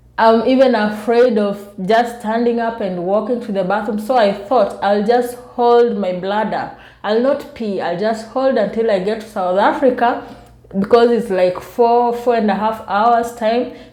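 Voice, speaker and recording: A woman's fairly high voice in a room with audible echo, fairly even in intonation and fairly slow in pace. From Kenya. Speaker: vlogger. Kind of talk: casual storytelling vlog. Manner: soft-spoken.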